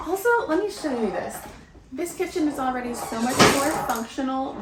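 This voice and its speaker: A woman with a high pitch speaks at a moderate pace amid noticeable background noise. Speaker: homemaker vlogger. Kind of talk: casual vlog talk. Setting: outdoors in backyard; at home, night. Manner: quiet, talking softly.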